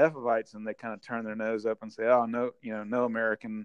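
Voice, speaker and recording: A man talks at a fairly quick pace with a Southern US accent. His pitch is medium, and the sound is dry and close with no echo. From Mississippi, Vicksburg. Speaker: brewery founder. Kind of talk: casual interview.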